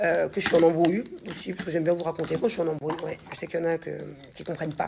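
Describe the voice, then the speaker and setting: A woman talking at a very fast pace in a monotone, flat delivery, over noticeable background noise. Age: 30s. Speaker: reality TV personality and influencer. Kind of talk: casual social media stories vlog. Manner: halting.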